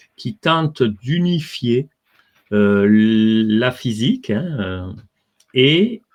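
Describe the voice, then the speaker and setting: The speaker is a man. His intonation is lively. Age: 60s. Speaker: physicist and author. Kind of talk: interview. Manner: hesitant, many fillers.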